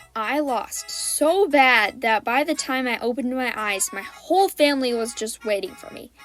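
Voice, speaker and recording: Over background music, a woman speaks in a high voice with ordinary pitch variation. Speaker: storytime animator. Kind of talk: storytime narration. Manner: comedic, upbeat.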